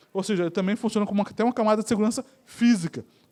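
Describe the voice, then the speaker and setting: Very clean, with a silent background, the recording captures a man talking at a very fast pace. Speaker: conference speaker, network solutions presales specialist. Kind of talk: conference talk. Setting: auditorium with audience.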